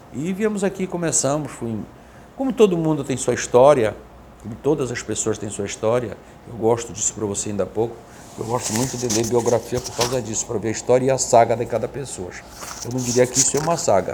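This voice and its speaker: Man at a medium pitch and fairly quick pace, with noticeable background noise. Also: ordinary pitch variation. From Pará riverside, Igarapé-Miri, Brazil. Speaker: businessman. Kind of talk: interview conversation.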